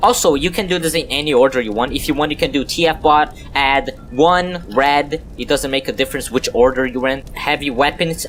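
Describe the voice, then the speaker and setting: Noticeable background noise behind a man with a non-native accent and a fairly high voice, fairly quick with hardly any pauses and ordinary pitch variation. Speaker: gaming YouTuber. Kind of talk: game tutorial commentary. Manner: casual, joking.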